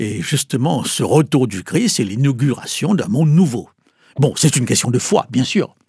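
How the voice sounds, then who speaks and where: At a fairly slow pace, a man speaks with a medium pitch, a dark, mellow tone and a somewhat breathy quality, his pitch swinging very widely. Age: 70s. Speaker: pastor and evangelist. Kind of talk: interview.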